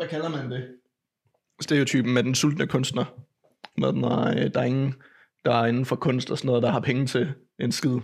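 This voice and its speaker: A man's medium-pitched voice with vocal fry, ordinary pitch variation, a moderate pace and long, frequent pauses. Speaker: podcast host. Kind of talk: casual chat. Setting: home. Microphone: echo from mic fault in first half.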